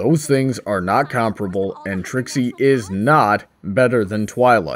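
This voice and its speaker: At a fairly slow pace, a man puts on a character voice with a medium pitch. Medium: comedy sketch.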